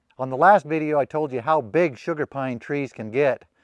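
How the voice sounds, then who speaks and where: Against a quiet background, a man speaks at a fairly quick pace, the sound dry with no echo. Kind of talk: casual vlog chat. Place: open country.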